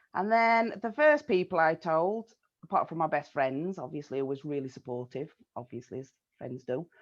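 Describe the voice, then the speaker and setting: A woman with a Yorkshire accent, fairly low in pitch, with lively intonation, big swings in loudness, and a quiet background. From South Yorkshire, Sheffield. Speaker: interviewee, community member. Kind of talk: casual interview chat.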